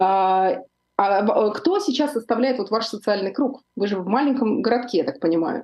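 Moderate pace, ordinary pitch movement, and a fairly high pitch in a woman's normal speaking voice. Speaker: psychologist and show host. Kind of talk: live interview. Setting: live stream studio.

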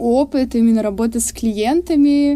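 Noticeable background noise sits behind the recording. A woman speaks over it with ordinary pitch variation. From Russia, Surgut (Western Siberia). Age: 20s. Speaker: tattoo artist and university student. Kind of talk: casual interview.

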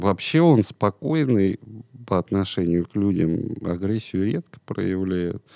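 A dark, mellow voice speaks very slowly with ordinary pitch variation, the sound dry and close with no echo over a quiet background. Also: man, fairly low pitch for a man. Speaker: parrot trainer. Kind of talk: casual chat. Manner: energetic.

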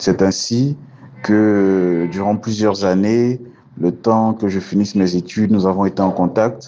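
Over noticeable background noise, a man with a fairly low pitch speaks at a very slow pace, with very even loudness and fairly even intonation. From Côte d'Ivoire. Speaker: cardiovascular surgeon. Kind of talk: interview.

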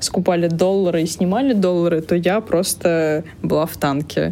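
A woman's fairly low voice with fairly even intonation over noticeable background noise. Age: 30s. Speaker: iOS developer. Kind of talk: casual chat.

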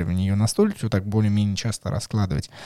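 Recorded dry and close with no echo, a man speaks in a dark, mellow tone. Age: 20s. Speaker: board game podcast host. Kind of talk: casual chat. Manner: animated.

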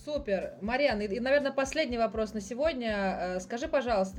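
A woman talks at a very fast pace with ordinary pitch variation, and there's noticeable background noise. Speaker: podcast host and tour guide. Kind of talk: casual interview chat.

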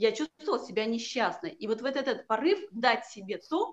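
An ordinary speaking voice from a woman at a fairly slow pace. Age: 40s. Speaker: healer and coach. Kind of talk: casual interview.

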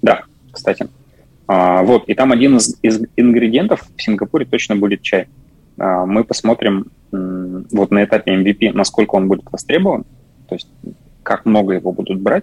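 With long, frequent pauses, a man with a fairly low pitch and ordinary pitch variation speaks at a moderate pace in a dry, close sound with no echo. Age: 30s. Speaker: project manager. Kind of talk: casual chat.

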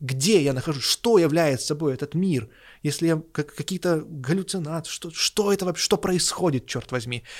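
A man with a normal speaking voice talks at a moderate pace and a fairly high pitch, with ordinary pitch variation. The sound is dry and close with no echo, in a very clean recording against a silent background. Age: 30s. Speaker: podcast co-host discussing religion and philosophy. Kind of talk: casual discussion.

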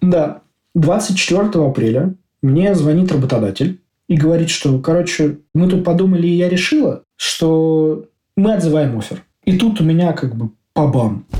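Speaking at a fairly slow pace, a man with a high-pitched voice and a dark, mellow tone uses lively intonation. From Russia, Moscow. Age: 30s. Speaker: IT developer. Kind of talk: casual interview.

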